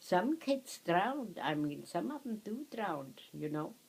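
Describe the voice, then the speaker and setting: Speaking at a fairly slow pace in a German accent, a woman uses a dark, mellow tone with very wide pitch swings. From Germany. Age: 80s+. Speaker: war survivor recalling childhood. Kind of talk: reminiscing, casual storytelling. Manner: halting.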